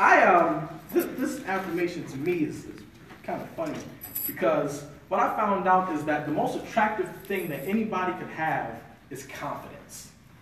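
With audible room echo and light background noise, a man speaks in a high voice at a moderate pace, animated in tone, lively in intonation and swinging widely in loudness. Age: 20s. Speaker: motivational speaker. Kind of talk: motivational talk to an audience. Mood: earnest, confessional. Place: meeting room. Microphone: camera far.

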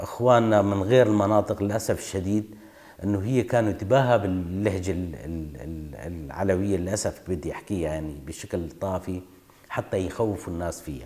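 A man's fairly low voice at a moderate pace, with ordinary pitch variation and a Kurdish accent. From northeastern Syria, Qamishli area (Kurdish village); Syria. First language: Kurdish (speaking Arabic). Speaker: oral history interviewee; interviewee. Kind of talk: testimony. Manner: halting. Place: home room.

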